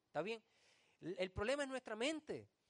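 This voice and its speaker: A man's high voice at a moderate pace, with very wide pitch swings and a dry, close sound with no echo. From Puerto Rico, Vega Baja. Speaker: pastor. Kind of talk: sermon. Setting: church.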